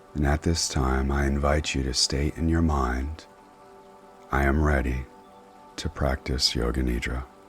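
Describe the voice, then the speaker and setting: Music plays behind a man with a very deep, low pitch. He speaks at a fairly slow pace with monotone, flat intonation. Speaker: meditation guide. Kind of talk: guided meditation. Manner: slow, soft-spoken.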